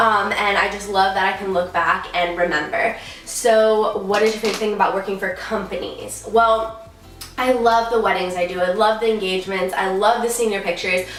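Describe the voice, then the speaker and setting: A woman at a medium pitch speaks with fairly even intonation, with music in the background and audible room echo. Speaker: photographer and vlogger. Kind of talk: casual Q&A vlog. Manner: fast.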